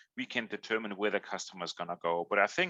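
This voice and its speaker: A man's very fast speech in a bright, sharp tone, dry and close with no echo, against a quiet background. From Germany. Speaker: customer insights executive. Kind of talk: podcast interview. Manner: hesitant, many fillers.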